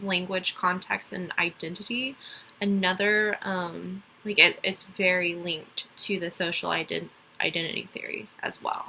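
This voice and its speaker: A woman speaks at a medium pitch with a slight Texas accent and fairly even intonation. Noticeable background noise runs underneath. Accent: slight Texas accent, some country twang. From Texas (Dallas). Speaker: college student. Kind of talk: class assignment presentation. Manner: hesitant, many fillers.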